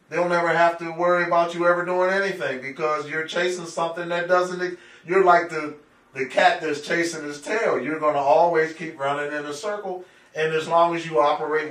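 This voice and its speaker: Against noticeable background noise, a man with a high pitch speaks at a fairly quick pace in a flat, monotone way. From Pittsburgh, Pennsylvania. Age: 60s. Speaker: urban planner. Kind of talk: interview.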